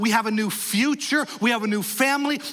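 A man's extremely high-pitched, raised, projected voice at a moderate pace with ordinary pitch variation, amid noticeable background noise. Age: 40s. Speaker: pastor. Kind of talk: sermon. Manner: animated.

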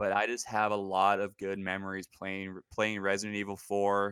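A man with a US West Coast accent speaks at a moderate pace in a fairly low pitch, his tone bright and sharp and his intonation monotone and flat. The recording is very clean, with a silent background. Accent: US West Coast American. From US Pacific Northwest. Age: 30s. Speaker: aspiring podcaster, gamer. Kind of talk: casual podcast interview.

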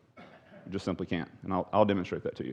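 In a Texan accent, a man is talking. His pace is very fast. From Texas. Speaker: pastor / Bible study teacher. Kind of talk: Bible study lecture. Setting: church room with live audience. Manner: conversational, halting with repetitions.

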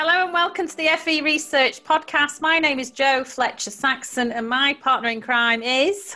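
Her voice is raised and projected, with a high pitch. The woman speaks with hardly any pauses. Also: ordinary pitch variation, moderate pace. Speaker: podcast host. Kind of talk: casual interview chat.

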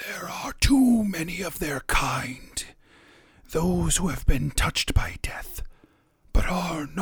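In a put-on character voice, the speaker whispers raspily at a fairly slow pace, with long, frequent pauses. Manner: raspy whispering.

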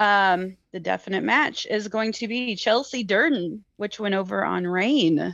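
This woman has an ordinary speaking voice at a medium pitch, with ordinary pitch variation and a quiet background. She talks at a fairly slow pace with hardly any pauses. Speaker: guest wrestling fan. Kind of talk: casual chat about pro wrestling. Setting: video call joining remotely.

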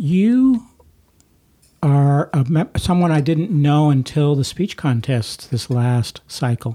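A man's very slow, somewhat breathy voice with a dark, mellow tone and an American accent. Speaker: podcast host. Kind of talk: interview. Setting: in-person recording at an office.

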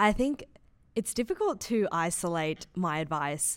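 In an Australian accent, a woman speaks on a very clean recording with a silent background. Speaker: law student, student society vice president. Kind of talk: casual chat.

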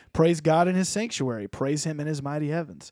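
An unremarkable speaking voice with lively intonation moves at a moderate pace in a dry, close sound with no echo, on a very clean recording with a silent background. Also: man. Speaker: pastor and podcast host. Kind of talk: casual chat. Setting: studio.

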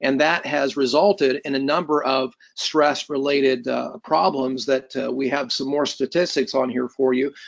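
A man speaks at a fairly high pitch with a Midwestern American accent. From US Midwest (Indiana). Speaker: health educator. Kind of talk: lecture. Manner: halting, frequent fillers.

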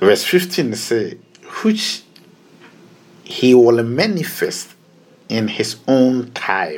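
A man with a Ghanaian accent speaks at a medium pitch and a very slow pace, with very wide pitch swings and long, frequent pauses. Noticeable background noise is heard. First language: Twi. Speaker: pastor. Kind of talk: sermon. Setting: radio broadcast.

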